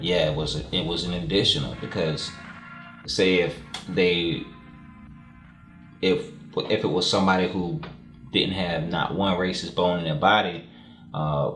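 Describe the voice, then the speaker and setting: With music in the background, a man with a Southern US accent speaks at a fairly slow pace in a very deep, low pitch, using fairly even intonation, a calm, relaxed tone and long, frequent pauses. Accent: southern twang. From South Florida. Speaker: hip-hop artist. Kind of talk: interview answer.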